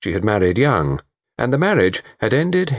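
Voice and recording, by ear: Someone reads aloud in a natural voice. The background is quiet.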